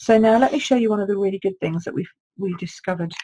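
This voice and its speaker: A woman talks in an English accent with ordinary pitch variation. Her voice is somewhat breathy, with a dark, mellow tone. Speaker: card-making demonstrator. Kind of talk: live craft tutorial. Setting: Facebook live stream. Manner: chatty, informal.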